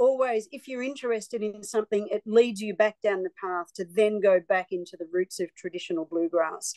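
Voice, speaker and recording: A woman with an Australian accent speaks at a fairly quick pace with hardly any pauses. Her pitch is fairly high, and the sound is dry and close with no echo. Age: 60s. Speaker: singer-songwriter. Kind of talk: interview.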